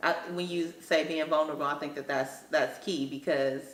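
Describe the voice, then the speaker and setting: The voice moves at a moderate pace with ordinary pitch variation, amid noticeable background noise and audible room echo. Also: woman. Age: 30s. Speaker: school counselor. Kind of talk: interview.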